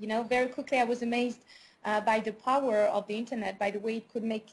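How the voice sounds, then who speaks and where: A woman's somewhat breathy, fairly high voice with a strong French accent and fairly even intonation. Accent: thick French. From France. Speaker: business owner. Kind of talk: interview. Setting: call. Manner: hesitant, many fillers.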